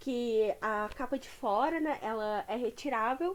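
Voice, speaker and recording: This woman's voice sits high, and her pitch varies in an ordinary way. Everything is captured in a very clean recording with a silent background. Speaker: YouTuber reading audiobooks. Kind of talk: casual chat introducing a book reading. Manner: slurs words together. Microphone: poor-quality microphone.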